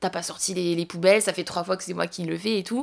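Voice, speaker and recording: This woman talks in a monotone with flat intonation. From southwestern France, Montauban. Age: 20s. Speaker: traveller. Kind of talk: casual chat.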